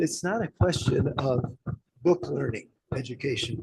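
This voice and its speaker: A man speaks with a dark, mellow tone and vocal fry. His pitch variation is ordinary. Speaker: professor. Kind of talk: seminar Q&A answer.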